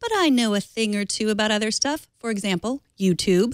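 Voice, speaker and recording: Dry and close with no echo, a very clean recording with a silent background captures a woman's fairly high, lively voice. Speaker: tech show host. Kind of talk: scripted tech tip segment. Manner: fast.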